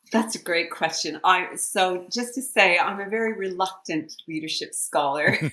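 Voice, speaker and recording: A woman with an American accent speaks at a medium pitch with ordinary pitch variation. She keeps a moderate pace with hardly any pauses, against noticeable background noise. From US East Coast (Washington DC, then Maine). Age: 60s. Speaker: leadership scholar. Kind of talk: podcast interview.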